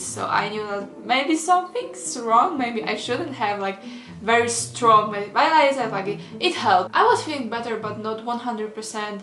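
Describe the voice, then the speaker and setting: Over noticeable background noise, a woman speaks with a Polish accent. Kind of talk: casual storytime rant to camera.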